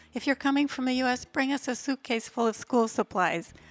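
On a very clean recording with a silent background, a woman with an American accent is heard in a dry, close sound with no echo. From US Midwest (Minnesota). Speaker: charity founder. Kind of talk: podcast interview.

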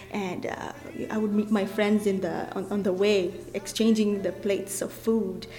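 A woman talks at a fairly slow pace in a medium pitch, her intonation flat and monotone. Noticeable background noise runs underneath. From Kenya. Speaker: community program coordinator. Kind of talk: interview.

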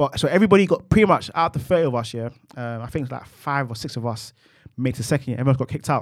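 Here a man speaks with a South London accent. His pace is very fast and his intonation lively. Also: medium pitch for a man. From London, Peckham. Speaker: IT client relationship manager. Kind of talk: casual chat. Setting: studio.

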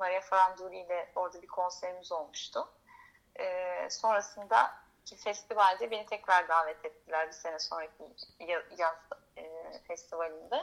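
A woman has a normal speaking voice with a medium pitch and ordinary pitch variation. She keeps a moderate pace, with big swings in loudness. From Turkey, Izmir. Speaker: singer-songwriter. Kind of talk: radio interview, casual chat.

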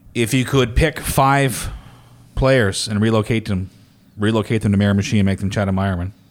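At a fairly quick pace, a man speaks in a plain, everyday voice, fairly low in pitch with ordinary pitch variation. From New Brunswick, Canada. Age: 40s. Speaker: podcast host. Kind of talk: casual chat.

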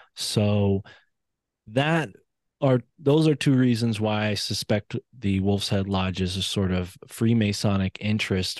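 A man with an East Coast American accent speaks at a very slow pace, his pitch fairly low with ordinary variation. The sound is dry and close with no echo, the background quiet. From US East Coast. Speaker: independent researcher and podcaster. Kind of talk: interview conversation.

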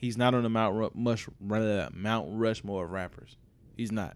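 His pitch shows ordinary variation. The speaker is a man. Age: 20s. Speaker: podcast host. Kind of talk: casual chat. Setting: studio. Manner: animated.

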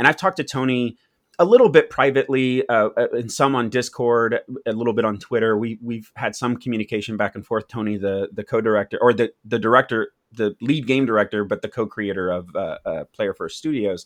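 A plain, everyday voice from a man at medium pitch, fairly quick in pace with ordinary pitch variation, dry and close with no echo against a quiet background. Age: 30s. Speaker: YouTube content creator. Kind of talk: casual chat.

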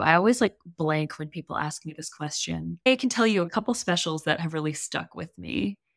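This woman has a normal speaking voice and talks at a fairly quick pace with lively intonation. The recording is very clean, with a silent background. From US South, New Orleans. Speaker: copywriter and comedian. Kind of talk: casual chat.

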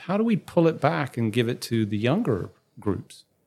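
On a very clean recording with a silent background, a man with a British accent speaks with very wide pitch swings. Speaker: podcast host, physician consultant. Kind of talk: interview.

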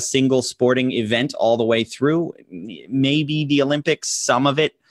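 In an American accent, the speaker moves at a moderate pace with ordinary pitch variation and a plain, everyday voice. The sound is dry and close, with no echo. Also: man. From US, small town. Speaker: podcast co-host. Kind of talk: casual chat.

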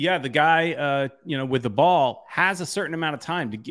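A man with a plain, everyday voice speaks at a fairly quick pace, fairly high in pitch with ordinary pitch variation. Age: 50s. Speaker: soccer supporters group veteran and fan show host. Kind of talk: casual chat.

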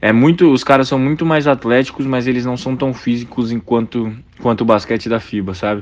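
A man speaks at a fairly quick pace in an unremarkable speaking voice. His pitch sits in the middle range, with ordinary pitch variation. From Brazil, Brasília. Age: 20s. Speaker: professional basketball player. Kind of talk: casual interview.

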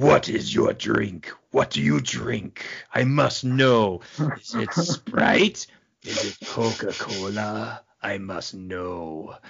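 A man's put-on character voice, fairly low in pitch, at a very slow pace. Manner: menacing, insistent.

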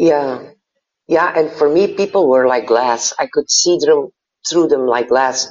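A woman with a Dutch accent speaks at a fairly slow pace with a very deep, low pitch and ordinary pitch variation. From Belgium. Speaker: happiness coach and tattoo artist. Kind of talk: interview conversation.

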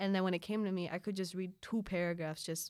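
A woman's fairly low voice, animated in tone, at a very fast pace. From Philippines. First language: Filipino. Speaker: student and polyglot. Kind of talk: casual interview chat. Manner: animated, laughs often.

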